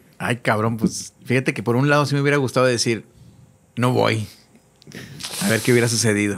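A man speaks at a fairly quick pace with ordinary pitch variation. He leaves long, frequent pauses. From Mexico. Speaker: musician; podcast guest. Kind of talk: casual chat. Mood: relaxed, joking, casual slang. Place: studio. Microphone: studio mic.

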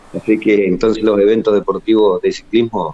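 A man is speaking. His pace is moderate. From Argentina. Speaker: municipal sports official; guest. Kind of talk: remote interview; interview answer. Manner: halting. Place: empty room. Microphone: studio mic.

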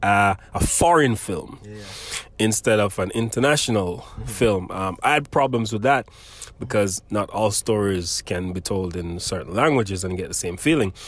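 A man speaks in a Jamaican accent at a moderate pace. His fairly low voice shows big swings in loudness. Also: lively intonation. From Jamaica, Portland parish. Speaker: podcast host. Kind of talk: interview.

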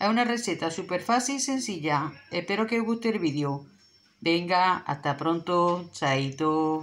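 Speaking at a fairly slow pace, a woman with an ordinary speaking voice has a medium pitch and lively intonation. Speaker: cooking video creator. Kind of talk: cooking tutorial.

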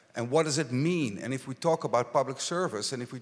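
Here is a man with a Dutch accent and a fairly high pitch. His pitch variation is ordinary. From Netherlands. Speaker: local politician; panelist. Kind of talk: panel discussion. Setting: stage with audience. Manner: halting. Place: stage. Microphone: handheld.

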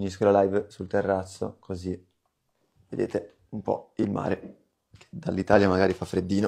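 A man with a fairly low voice and a dark, mellow tone speaks with long, frequent pauses. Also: quiet background. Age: 20s. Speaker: online business coach. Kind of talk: live stream Q&A. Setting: live stream. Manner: animated; fast. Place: home room. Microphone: phone near.

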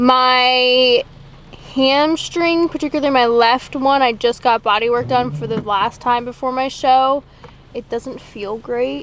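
Speech comes at a very slow pace with ordinary pitch variation and a dry sound with no echo. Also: woman. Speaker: fitness vlogger. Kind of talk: casual vlog chat. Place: car. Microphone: lapel.

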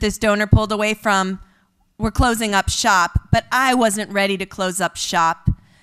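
Faint music plays behind a woman at a moderate pace. Her pitch is fairly high, with ordinary variation. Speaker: storyteller at an event. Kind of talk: pep talk; storytelling speech. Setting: stage with audience. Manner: earnest, inspirational. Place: stage. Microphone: podium.

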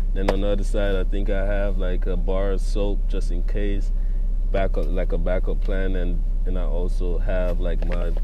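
A man at an extremely high pitch, fairly slow pace, dry sound with no echo and noticeable background noise. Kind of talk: casual vlog chat. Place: car. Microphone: phone near.

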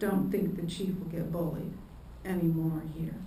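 Amid audible room echo, a woman speaks at a fairly slow pace with fairly low pitch and a dark, mellow tone.

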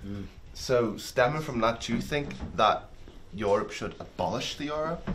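Some light noise runs in the background. Over it, a man talks. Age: young. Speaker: talk show host. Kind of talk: casual chat. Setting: kitchen.

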